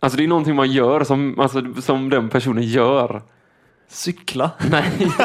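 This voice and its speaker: A man's ordinary speaking voice at medium pitch, with fairly even intonation and a fairly slow pace. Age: 20s. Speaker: podcast co-host. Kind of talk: casual chat.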